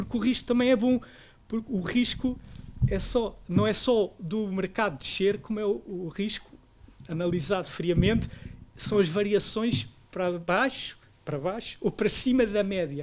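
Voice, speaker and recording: At a moderate pace, a high-pitched man talks with ordinary pitch variation. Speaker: investment professional. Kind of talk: panel discussion.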